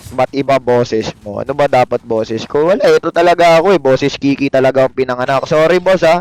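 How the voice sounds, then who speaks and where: A man talks at a very fast clip, barely pausing, in an animated tone. The sound is dry and close, with no echo. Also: ordinary pitch variation. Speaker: game streamer. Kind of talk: live gameplay stream chat.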